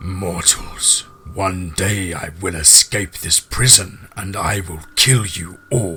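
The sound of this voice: A man uses a put-on character voice with a low pitch. His tone is bright and sharp, and his pace is slow. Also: ordinary pitch variation.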